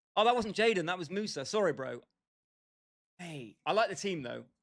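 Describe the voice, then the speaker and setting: A man with a British accent talks at a fairly quick pace with lively intonation. The recording is very clean, with a silent background. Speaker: gaming livestreamer. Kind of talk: casual chat. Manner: animated.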